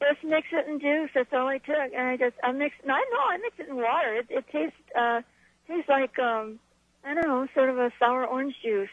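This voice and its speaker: A high-pitched woman with an American accent, at a fairly quick pace, with ordinary pitch variation. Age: 70s. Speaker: caller. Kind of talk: casual chat.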